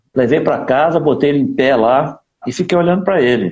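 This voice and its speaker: The man talks fairly slowly. His pitch rises and falls very widely. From Minas Gerais, Brazil (Divinópolis). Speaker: saxophonist. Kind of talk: casual interview. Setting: live stream. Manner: animated.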